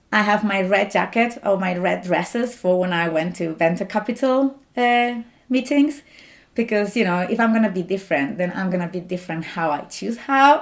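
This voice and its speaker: A woman speaks in a strong Spanish accent at a medium pitch. Her intonation is lively. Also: moderate pace. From Spain. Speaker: doctoral student, scientist. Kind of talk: interview.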